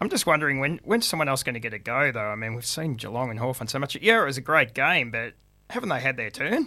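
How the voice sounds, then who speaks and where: With an Australian accent, a man with a medium pitch and a bright, sharp tone speaks at a very fast pace, his intonation lively. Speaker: sports podcast co-host. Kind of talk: casual sports panel chat.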